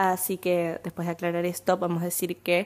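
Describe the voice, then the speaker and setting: A woman speaks with an Argentine accent in a fairly low voice. The recording is very clean, with a silent background. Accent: Rioplatense Argentine Spanish. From Argentina, Buenos Aires. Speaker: podcast host. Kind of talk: solo monologue podcast. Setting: home recording, fan turned off.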